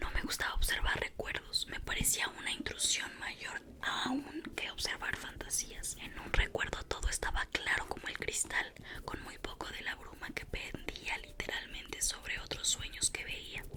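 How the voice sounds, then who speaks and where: Whispering from a woman, fairly slow, amid noticeable background noise. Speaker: ASMR creator. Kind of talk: ASMR book reading. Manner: whispered, soft.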